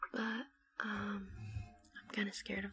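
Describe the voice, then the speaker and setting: Soft-spoken and gentle in tone, a woman is heard in a dry sound with no echo and light background noise. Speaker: ASMR creator. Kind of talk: ASMR roleplay, soft spoken. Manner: soft-spoken, gentle, comforting. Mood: comforting, warm. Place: home room. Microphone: earbuds.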